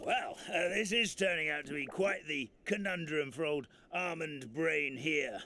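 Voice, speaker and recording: In a put-on character voice, a man speaks with a raspy, fairly high pitch. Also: moderate pace. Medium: video game. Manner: folksy, rambling.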